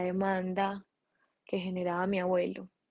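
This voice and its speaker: A woman's mid-pitched voice with a Colombian Paisa accent, at a fairly slow pace. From Colombia, Medellín. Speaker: architect and craft entrepreneur. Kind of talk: interview testimony. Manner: halting.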